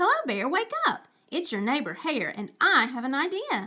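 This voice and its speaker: A put-on character voice with very wide pitch swings. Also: woman, high pitch for a woman, moderate pace. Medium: read story. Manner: smooth, persuasive.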